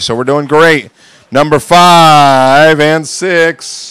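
The recording sounds dry, with no echo. A man does the talking. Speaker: school staff member. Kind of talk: school announcements. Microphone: handheld.

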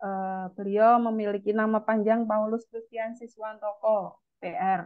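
A woman's voice at a fairly high pitch over a quiet background. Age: 30s. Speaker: event moderator. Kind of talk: formal moderation. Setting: video call. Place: home room. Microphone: webcam.

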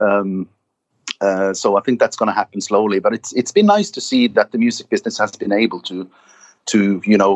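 A man speaks with a Norwegian accent. His pace is moderate. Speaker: singer in a metal band. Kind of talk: casual interview.

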